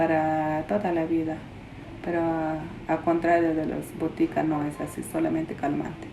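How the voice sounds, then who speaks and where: Noticeable background noise runs beneath this recording. A woman speaks at a fairly low pitch and a fairly slow pace. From Peruvian Amazon, Shipibo. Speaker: traditional healer. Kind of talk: interview. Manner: halting.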